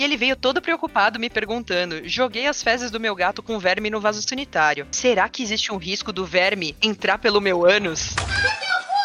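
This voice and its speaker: A woman speaks at a moderate pace with a fairly high pitch and lively intonation, hardly pausing at all. Noticeable background noise sits behind her voice. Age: 30s. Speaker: veterinarian. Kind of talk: casual chat. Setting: studio.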